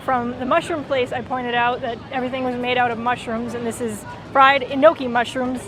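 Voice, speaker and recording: A woman speaks with a Minnesotan accent and a high pitch. Noticeable background noise sits behind her. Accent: Minnesota. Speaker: travel vlogger. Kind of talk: casual vlog commentary. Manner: animated.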